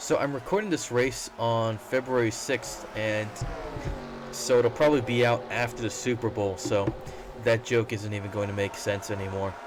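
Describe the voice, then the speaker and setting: Over noticeable background noise, a man talks at a moderate pace and medium pitch, with ordinary pitch variation. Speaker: sim racing commentator. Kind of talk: race commentary. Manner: casual, joking.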